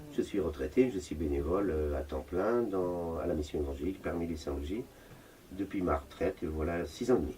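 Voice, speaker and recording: A man speaks at a very deep, low pitch with a dark, mellow tone. His voice is somewhat breathy, and his pace is fairly quick. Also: ordinary pitch variation. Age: 60s. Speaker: retired full-time volunteer at a homeless mission. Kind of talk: interview. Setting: homeless shelter.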